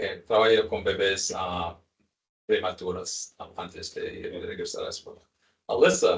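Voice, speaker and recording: Speaking slowly-ish with long, frequent pauses, a man with an English accent shows big swings in loudness. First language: English (speaking Portuguese). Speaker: professor leading climate justice study. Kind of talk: interpreting in a video meeting. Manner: halting.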